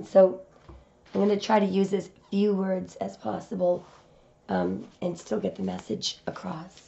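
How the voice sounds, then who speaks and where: Using a put-on character voice, a woman sounds hoarse and raspy at a medium pitch and fairly slow pace, with clear background noise. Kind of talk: tarot reading commentary.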